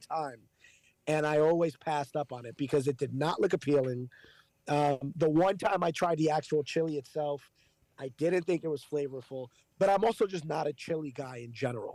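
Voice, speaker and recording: Speaking at a fairly quick pace, a man with a New York accent and a fairly high pitch has a dark, mellow tone, captured dry and close with no echo on a very clean recording with a silent background. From New York City. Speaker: radio host. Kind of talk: interview. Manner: casual, blunt.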